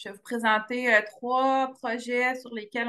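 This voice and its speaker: A woman's bright, sharp tone at a moderate pace. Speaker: biologist presenting wildlife projects. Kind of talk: webinar presentation. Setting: video call. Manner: hesitant with many fillers.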